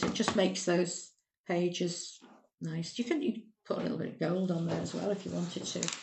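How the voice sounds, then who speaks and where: Using an unremarkable speaking voice, a woman talks at a fairly quick pace and medium pitch with ordinary pitch variation. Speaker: cake decorating tutor. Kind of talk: tutorial.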